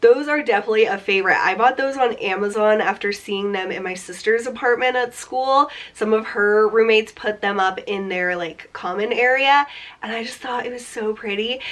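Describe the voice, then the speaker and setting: A woman speaks at a fairly high pitch and a moderate pace. Her pitch varies in an ordinary way, with noticeable background noise behind her. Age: 20s. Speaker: beauty vlogger. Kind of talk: casual vlog talk. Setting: home room. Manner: chatty, lots of 'like'.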